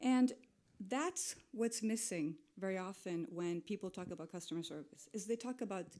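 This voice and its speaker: A woman with a dark, mellow tone speaks with very wide pitch swings. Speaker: digital and retail expert. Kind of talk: conference talk. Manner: fast.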